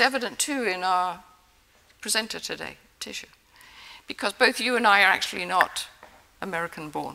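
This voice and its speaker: At a moderate pace, a woman talks in a bright, sharp tone with lively intonation. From England. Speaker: prize-winning immunologist. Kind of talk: award acceptance speech. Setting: stage with audience.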